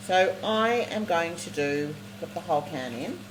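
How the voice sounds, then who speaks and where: Someone speaks with an Australian accent over noticeable background noise. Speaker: cooking show host. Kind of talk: live cooking demonstration. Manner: fast; animated.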